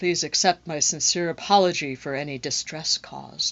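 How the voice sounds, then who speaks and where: A woman puts on a character voice. It sits fairly low in pitch. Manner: creepy.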